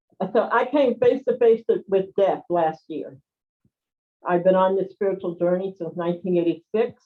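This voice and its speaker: In a plain, everyday voice, a woman speaks at medium pitch and a moderate pace. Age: 60s. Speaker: spiritual healer and community organizer. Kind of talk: personal testimony in an online group call.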